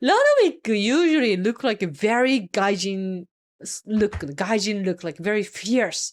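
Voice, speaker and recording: The speaker uses an animated tone and lively intonation in a Japanese accent. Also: woman, fairly high pitch for a woman, moderate pace. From Japan, Kyushu. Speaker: Japanese teacher and reaction streamer. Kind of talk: reaction commentary. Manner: code-switching Japanese and English.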